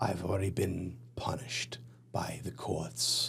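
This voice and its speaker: A man whispers in a put-on character voice that is creaky. He talks at a fairly slow pace. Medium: actual play. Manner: bitter, defensive.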